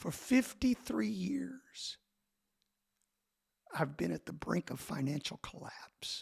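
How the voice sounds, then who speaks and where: A man whispering at a very slow pace, with long, frequent pauses and a dry, close sound with no echo. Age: 60s. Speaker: pastor. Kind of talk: casual chat.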